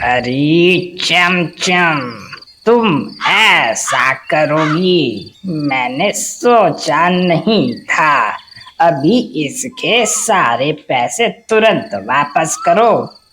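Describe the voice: A cartoonish character voice sits at a middle pitch. It moves at a very slow pace.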